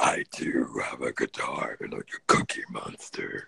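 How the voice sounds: A man puts on a raspy character voice at extremely high pitch, speaking at a fairly slow pace.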